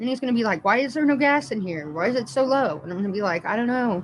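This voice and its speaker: Somewhat breathy and fairly high, a woman's voice races at a very fast pace with very wide pitch swings. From Indiana, US Midwest. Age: 30s. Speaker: livestreamer. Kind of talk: casual live-stream chat. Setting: live stream.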